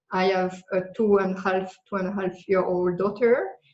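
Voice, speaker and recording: A woman with a French accent speaks at a moderate pace. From France. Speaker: digital nomad business coach. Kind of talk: podcast interview.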